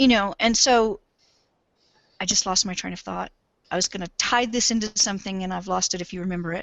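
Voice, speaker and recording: A woman's medium-pitched voice at a fairly quick pace, with fairly even intonation, big swings in loudness, and long, frequent pauses. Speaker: game developer. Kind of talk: interview. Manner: fast.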